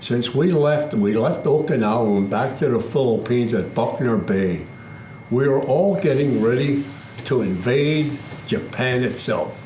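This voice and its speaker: Amid noticeable background noise and audible room echo, a man speaks fairly slowly with lively intonation and very even loudness. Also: medium pitch for a man. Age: 90s. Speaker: war veteran. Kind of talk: testimony.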